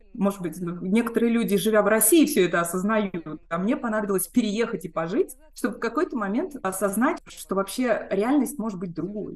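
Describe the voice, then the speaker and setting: A woman speaks with lively intonation at a moderate pace and a fairly high pitch. Noticeable background noise can be heard. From Moscow, Russia. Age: 40s. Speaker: emigrant interviewee. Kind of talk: interview testimony.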